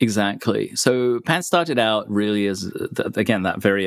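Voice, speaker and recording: This is a man speaking with a British accent. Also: very clean recording, silent background. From UK. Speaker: software developer. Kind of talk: podcast interview.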